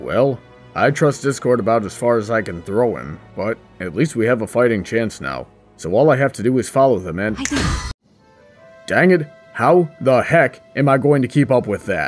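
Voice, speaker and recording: Over faint background music, a man speaks at a moderate pace in a put-on character voice at a medium pitch. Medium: comedy sketch.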